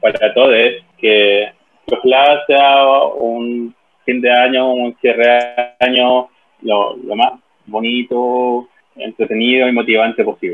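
Speaking very slowly with a Chilean accent, a man leaves long, frequent pauses. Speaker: podcast co-host. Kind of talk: casual chat. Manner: halting, many repetitions and fillers.

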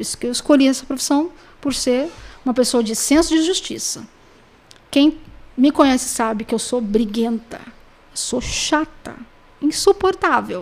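A woman's high voice with ordinary pitch variation at a moderate pace, broken by long, frequent pauses. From Brazil, São Paulo state (Pindamonhangaba). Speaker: private detective and necropsy technician. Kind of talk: podcast interview. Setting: studio.

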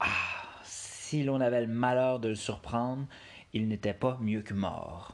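In a Quebec accent, a man speaks at a very slow pace with a medium pitch and fairly even intonation. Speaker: storyteller reading tales aloud. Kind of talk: dramatic storytelling narration of a folk tale, read aloud with suspense. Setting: solo home recording on an app. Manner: casual, jokey, self-deprecating in the intro and outro.

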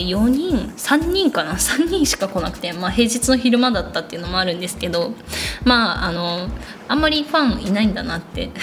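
A woman at a fairly quick pace, with very wide pitch swings and noticeable background noise. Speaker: illustrator podcast host. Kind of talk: solo podcast monologue. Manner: gentle, slightly mumbling.

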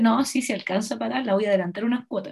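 Somewhat breathy, a woman talks at a fairly high pitch with ordinary pitch variation. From Chile. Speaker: podcast host. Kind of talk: casual chat.

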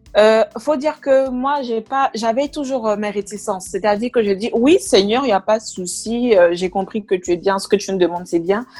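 A woman speaks at a moderate pace in a plain, everyday voice, fairly high in pitch, with ordinary pitch variation. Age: 20s. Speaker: project manager giving a faith testimony. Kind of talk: testimony.

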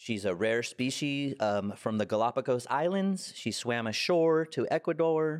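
A man with a plain, everyday voice, fairly slow pace and hardly any pauses, lively intonation over very even loudness, on a very clean recording with a silent background. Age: 40s. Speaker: comedian and podcast co-host. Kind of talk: casual chat.

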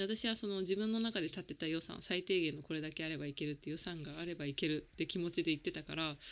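On a very clean recording with a silent background, a woman with a plain, everyday voice speaks at a fairly low pitch with ordinary pitch variation and hardly any pauses. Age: 30s. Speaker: life coach and podcast host. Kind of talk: casual solo podcast monologue. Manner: chatty with many fillers.

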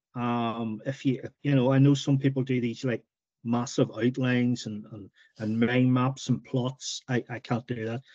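Dark, mellow male voice of medium pitch, flat and monotone, at a moderate pace, with a dry, close sound and no echo. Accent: Northern Irish. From Northern Ireland, County Tyrone. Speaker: novelist. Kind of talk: interview.

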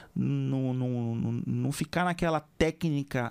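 A man with a plain, everyday voice speaks at a fairly high pitch with lively intonation. The sound is dry and close with no echo, on a very clean recording with a silent background. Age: 40s. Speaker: veterinary surgeon and podcast host. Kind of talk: casual interview.

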